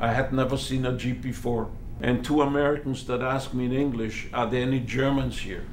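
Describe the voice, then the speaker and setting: A man with a French accent speaks in a monotone, flat intonation. Noticeable background noise and audible room echo fill the recording. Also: medium pitch for a man, fairly quick pace. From Belgium. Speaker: Holocaust survivor. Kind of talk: testimony.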